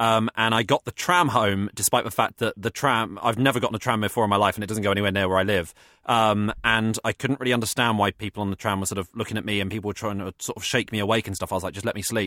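A man in an English accent, fairly low-pitched with a bright, sharp tone, very fast and fairly even, in a dry, close sound with no echo. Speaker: comedian. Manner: halting.

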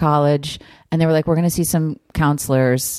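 A woman with an American accent has a dark, mellow tone, heard as a dry, close sound with no echo. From New Jersey. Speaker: improv comedian. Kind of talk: casual chat.

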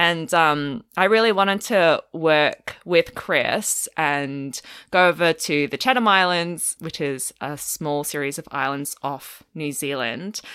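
On a very clean recording with a silent background, a woman with an Australian accent speaks at a fairly slow pace in a fairly low pitch with a bright, sharp tone. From Australia, Melbourne. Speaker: paleontologist. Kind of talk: casual interview chat.

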